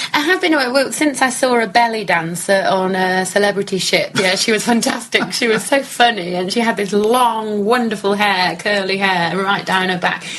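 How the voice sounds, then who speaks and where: A woman with a northern English accent speaks at a moderate pace and medium pitch, with ordinary pitch variation and noticeable background noise. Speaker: cruise ship pianist and entertainer. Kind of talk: casual interview. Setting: audio interview.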